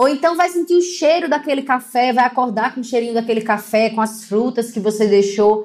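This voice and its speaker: Against noticeable background noise, a woman with a high voice speaks at a fairly quick pace with lively intonation and hardly any pauses. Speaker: financial educator. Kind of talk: casual video talk. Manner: animated.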